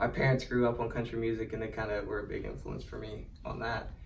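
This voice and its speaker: With an American accent, a man talks at a fairly quick pace in a monotone, flat delivery. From Portsmouth, southern Ohio. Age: young. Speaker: guitarist in a country band. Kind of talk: interview answer. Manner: soft-spoken.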